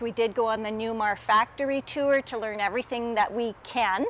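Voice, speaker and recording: This woman has a Canadian accent, a fairly high pitch, a fairly quick pace, ordinary pitch variation and an unremarkable speaking voice. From Canada. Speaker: RV reviewer. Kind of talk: video tour review. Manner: upbeat, chatty.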